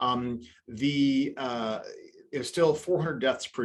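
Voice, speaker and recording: The man speaks at medium pitch with ordinary pitch variation. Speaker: family physician. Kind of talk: webinar lecture. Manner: fast; animated.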